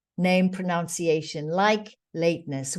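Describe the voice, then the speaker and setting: At a fairly slow pace, a woman speaks with a South African accent against a quiet background. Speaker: diversity training facilitator. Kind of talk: webinar presentation. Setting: online webinar.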